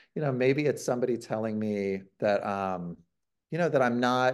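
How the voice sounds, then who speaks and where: A man speaks in a US Midwestern accent over a quiet background. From Ohio, US Midwest. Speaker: author and improv teacher. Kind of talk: interview conversation.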